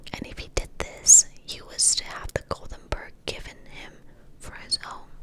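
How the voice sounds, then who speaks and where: Whispering at a very slow pace, a woman is heard through noticeable background noise. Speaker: ASMR creator. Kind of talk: fairy tale reading, ASMR. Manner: whispered.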